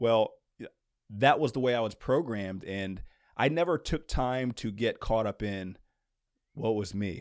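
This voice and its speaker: A man with an unremarkable speaking voice and fairly low pitch uses ordinary pitch variation in a very clean recording with a silent background. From US East Coast, moved around. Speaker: former pro basketball player and basketball trainer. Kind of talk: casual interview.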